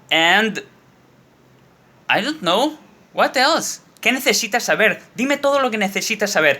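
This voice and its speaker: Using a raised, projected voice, a man speaks at a high pitch with a bright, sharp tone, lively intonation and long, frequent pauses. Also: moderate pace. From Spain. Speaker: Spanish teacher and actor. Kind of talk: casual talk to camera.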